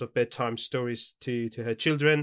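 A man with a Persian accent speaks at a moderate pace and a medium pitch. The sound is dry and close, with no echo. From Iran. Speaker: academic researcher. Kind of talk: casual chat. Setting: remote call.

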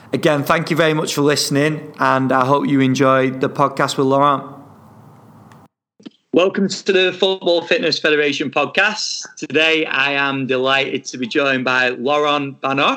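A man's fairly high, bright, sharp voice at a moderate pace, with ordinary pitch variation. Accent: Lancashire. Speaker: podcast host. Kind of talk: podcast interview.

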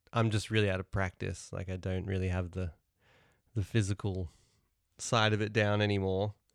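A man with a New Zealand accent, fairly low in pitch, with monotone, flat intonation, a moderate pace, and long, frequent pauses. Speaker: musician. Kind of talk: casual chat. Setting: video call.

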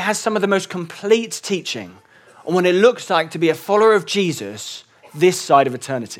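The speaker has an English accent. The pace is fairly quick and the intonation lively. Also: man. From England. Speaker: church elder and preacher. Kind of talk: sermon.

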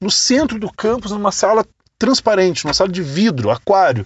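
With an animated tone and lively intonation, a man speaks at a moderate pace. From Brazil, interior of Rio Grande do Sul. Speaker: podcast host, digital marketing entrepreneur. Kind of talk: casual storytelling monologue.

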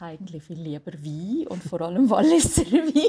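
Somewhat breathy and dark, mellow in tone, a woman's voice rises and falls with lively intonation. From Switzerland, Valais. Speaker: jazz singer. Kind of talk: interview. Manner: halting.

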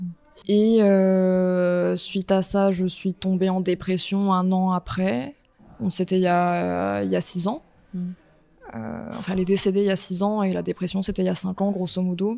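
Over noticeable background noise, a woman speaks fairly slowly at a medium pitch with fairly even intonation. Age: 20s. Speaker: portrait photographer. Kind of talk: personal testimony interview.

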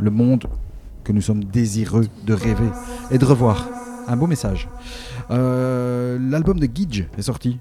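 Noticeable background noise behind a man's medium-pitched voice, fairly slow and with ordinary pitch variation. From Belgium. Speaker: radio DJ host. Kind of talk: radio show presentation between tracks. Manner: casual, lively.

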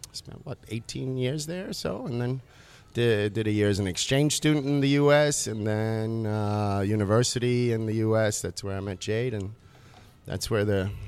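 The recording is very clean with a silent background as a man talks at a moderate pace with ordinary pitch variation. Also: medium pitch for a man. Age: 40s. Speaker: chef and restaurant co-owner, podcast guest. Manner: laid-back, easygoing.

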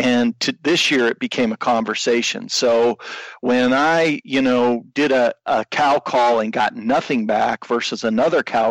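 A man with a normal speaking voice talks at a medium pitch, at a fairly slow pace with fairly even intonation. The sound is dry and close, with no echo. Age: 50s. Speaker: bowhunter, podcast listener. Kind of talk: casual interview.

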